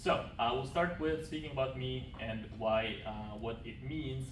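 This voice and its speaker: Over noticeable background noise and audible room echo, a man with a Turkmen accent speaks with lively intonation. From Turkmenistan. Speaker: graduate student. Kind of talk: presentation. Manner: halting, with many fillers.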